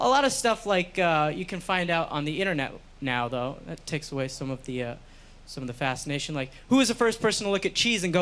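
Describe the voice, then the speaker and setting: Rattling along at a very fast pace, a man in a New York accent has a bright, sharp tone and very wide pitch swings. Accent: New York American. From US, New York. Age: 20s. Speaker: stand-up comedian. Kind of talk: stand-up. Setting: stage with audience.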